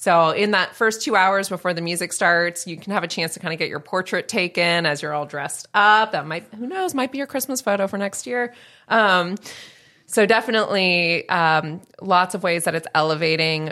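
A woman with an American accent uses a normal speaking voice at a medium pitch, a moderate pace and ordinary pitch variation. The recording is very clean with a silent background. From Northern California. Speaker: nonprofit executive director. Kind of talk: casual chat.

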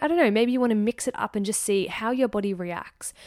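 A woman speaks in a normal speaking voice at a medium pitch, with ordinary pitch variation. The recording is very clean, with a silent background. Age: 30s. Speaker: podcast host, eating psychology coach. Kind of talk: casual solo monologue.

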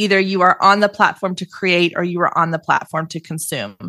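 A woman speaks with a bright, sharp tone at a fairly low pitch, her intonation monotone and flat. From Texas, Waco. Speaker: entrepreneur and podcaster, social media coach. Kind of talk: podcast interview. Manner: casual, conversational with fillers.

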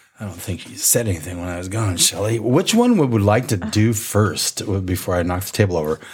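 A man with a fairly low voice talks at a fairly quick pace, with hardly any pauses. His delivery is somewhat breathy, with ordinary pitch variation and big swings in loudness. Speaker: podcast host. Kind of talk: casual chat.

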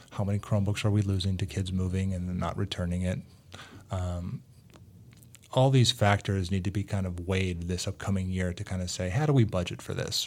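With an American accent, a man speaks at a very deep, low pitch and fairly even intonation. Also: fairly quick pace. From US, Greek American family. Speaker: school district technology director. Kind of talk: casual interview.

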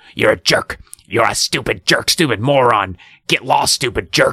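A man growls in a put-on character voice at a medium pitch. He keeps a moderate pace. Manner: insulting, menacing.

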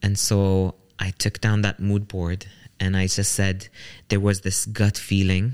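Recorded very cleanly with a silent background and a dry, close sound with no echo, a man speaks at a fairly slow pace with a fairly low pitch. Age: 30s. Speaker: social entrepreneur and mental health advocate. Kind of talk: interview.

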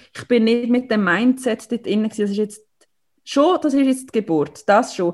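A woman with a Swiss accent speaks in a fairly high pitch, somewhat breathy. Her pace is moderate and her pitch varies in an ordinary way. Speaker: mother of premature twins. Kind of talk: personal testimony.

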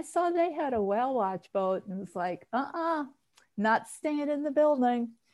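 A woman with an ordinary speaking voice talks at a fairly slow pace, her intonation lively. The recording is very clean, with a silent background. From New York (Queens). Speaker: podcast co-host. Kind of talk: casual chat.

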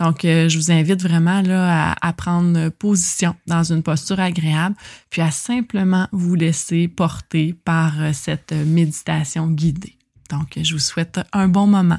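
In a Quebec accent, a woman speaks very slowly in a calm, somewhat breathy voice of fairly low pitch, with fairly even intonation. Her loudness stays very even, and the sound is dry and close with no echo. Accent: Québécois French. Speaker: podcast host, psychoeducator. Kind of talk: casual podcast intro. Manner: calm, softened voice.

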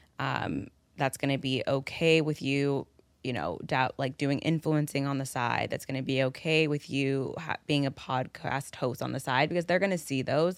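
On a very clean recording with a silent background, the speaker talks at a moderate pace in an animated tone. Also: woman, very deep, low pitch for a woman. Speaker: podcast host. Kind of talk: casual chat. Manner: animated, laughs often.

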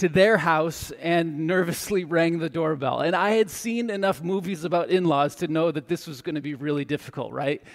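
Pitched high, a man talks with ordinary pitch variation. His pace is moderate. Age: 40s. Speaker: pastor. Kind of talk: sermon.

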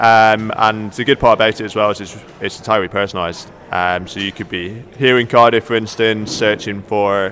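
Background noise is clearly noticeable here. A man talks at a moderate speed through it. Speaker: company representative. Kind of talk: radio interview.

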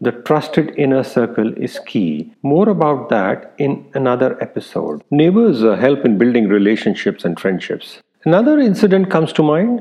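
The voice swings widely in pitch, has a dark, mellow tone, and moves at a moderate pace with few pauses. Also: man, medium pitch for a man.

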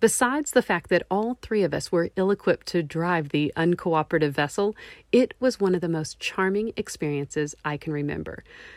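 The sound is dry and close, with no echo. A woman speaks in a Texan accent with lively intonation. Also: very clean recording, silent background. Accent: Texan American. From Texas. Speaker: travel podcast host. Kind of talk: scripted narration.

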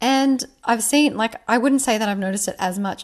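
A woman's lively intonation at a fairly quick pace, with noticeable background noise. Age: 30s. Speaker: manifestation coach and podcast host. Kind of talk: casual monologue. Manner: chatty, many fillers.

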